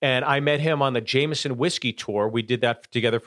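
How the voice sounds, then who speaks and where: A man with an American accent and an unremarkable speaking voice, at a fairly quick pace with fairly even intonation, in a very clean recording with a silent background and a dry, close sound with no echo. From Pittsburgh, US. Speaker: stand-up comedian. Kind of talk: casual chat with anecdotes.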